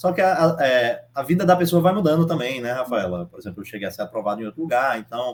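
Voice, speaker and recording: Speech rushes at a very fast pace with hardly any pauses, very wide pitch swings and big swings in loudness. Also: man. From Brazil, Northeast (Piauí). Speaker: approved civil service exam candidate, civil engineer. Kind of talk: interview. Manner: halting.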